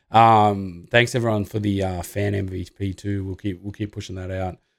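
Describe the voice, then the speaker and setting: A man's very deep, low voice in an Australian accent, monotone and flat, in a very clean recording with a silent background. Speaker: basketball podcast host. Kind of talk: casual chat. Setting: live stream.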